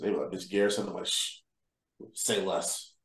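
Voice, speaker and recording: Vocal fry runs through this man's speech as he talks at a fairly quick pace. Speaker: podcast co-host. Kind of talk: casual banter podcast chat.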